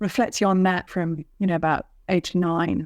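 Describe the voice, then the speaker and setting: A woman with a fairly low pitch speaks in a British accent at a moderate pace. Her intonation is fairly even, and the recording is very clean with a silent background. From England, London. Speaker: author. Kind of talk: interview.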